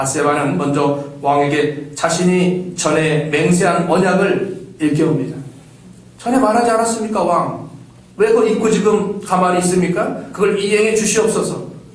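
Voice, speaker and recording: A man's high voice with ordinary pitch variation, audible room echo, and noticeable background noise. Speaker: pastor. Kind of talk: sermon. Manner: fast; articulate.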